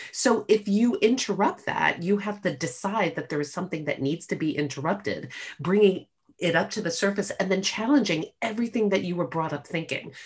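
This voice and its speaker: A woman with a medium pitch talks at a fairly quick pace in a somewhat breathy voice. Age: 50s. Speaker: podcast guest, older friend of the host. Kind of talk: casual chat. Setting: video call.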